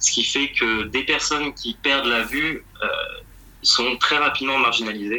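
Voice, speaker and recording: Against noticeable background noise, a man speaks at a medium pitch and a fairly slow pace with fairly even intonation. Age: 20s. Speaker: NGO mission coordinator. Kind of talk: interview. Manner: halting, frequent repetitions and fillers.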